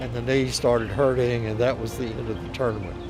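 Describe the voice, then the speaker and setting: A man speaks at a medium pitch with a Southern US accent. Music plays in the background. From Mississippi, US. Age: 80s+. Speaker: physician and tennis player. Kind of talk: testimonial interview.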